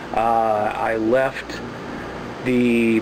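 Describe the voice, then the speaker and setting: Medium-pitched man with monotone, flat intonation over noticeable background noise. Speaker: home gardening vlogger. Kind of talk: casual video tutorial.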